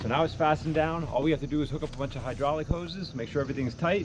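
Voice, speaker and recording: The speech moves at a very fast pace with ordinary pitch variation. Noticeable background noise runs underneath. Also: man. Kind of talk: casual vlog chat. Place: farm machine. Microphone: camera far.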